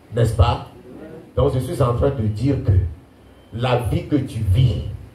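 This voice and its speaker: Very slowly, a man speaks at a medium pitch with lively intonation. Audible room echo and noticeable background noise come through too. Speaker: pastor. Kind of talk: sermon. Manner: animated.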